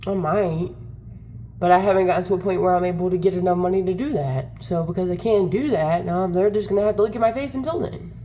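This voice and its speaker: A woman speaks at a fairly quick pace and a medium pitch. The room echo is audible. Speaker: content creator. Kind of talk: casual vlog rant. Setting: wearing headphones. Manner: animated.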